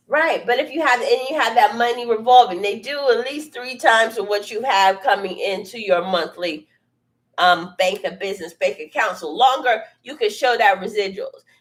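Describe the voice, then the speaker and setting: An ordinary speaking voice moves at a moderate pace with lively intonation. Loudness swings widely. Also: woman, fairly high pitch for a woman. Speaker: business coach. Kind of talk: live stream talk. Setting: studio.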